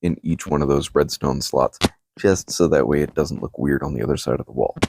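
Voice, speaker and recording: A man talks at a fairly quick pace in a relaxed tone, with vocal fry and ordinary pitch variation. The sound is dry and close, with no echo. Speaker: Minecraft content creator. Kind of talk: casual gameplay commentary.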